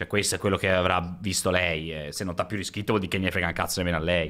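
The man's tone is bright and sharp, set against a quiet background. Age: 30s. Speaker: streamer. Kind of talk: casual chat. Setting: live stream. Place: home room. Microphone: studio mic.

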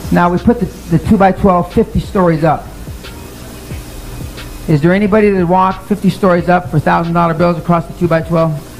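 With faint music in the background, a high-pitched man speaks in fairly even intonation and very even loudness, leaving long, frequent pauses. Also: moderate pace. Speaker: speaker. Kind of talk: motivational seminar talk. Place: meeting room.

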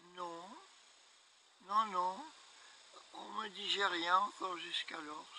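A man with a high pitch uses a raised, projected voice at a very slow pace, leaving long, frequent pauses. The sound is dry with no echo and has light background noise, and his pitch variation is ordinary. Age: 80s+. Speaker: elderly man telling his story. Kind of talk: interview answer. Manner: hesitant. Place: garden. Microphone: camera far.

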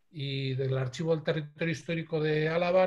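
Fairly even intonation in a man's somewhat breathy voice. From Bilbao, Basque Country, Spain. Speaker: lecturer on photographic heritage. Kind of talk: online lecture. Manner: hesitant fillers.

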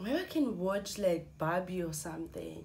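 A somewhat breathy woman's voice with very wide pitch swings. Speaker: vlogger. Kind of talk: casual vlog chat. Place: home room. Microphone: phone near.

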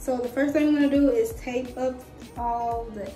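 Over faint background music and with audible room echo, a woman speaks at a fairly slow pace in a high pitch. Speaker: home vlogger. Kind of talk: casual vlog chat. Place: bathroom. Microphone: phone near.

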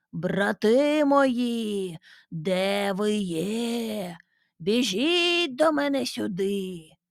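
Loud and bellowing, a put-on character voice with a fairly high pitch moves at a very slow pace. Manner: roaring, loud.

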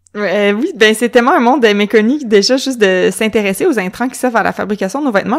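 Fairly quick speech with ordinary pitch variation. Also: woman. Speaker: podcast host. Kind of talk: casual interview; scripted intro.

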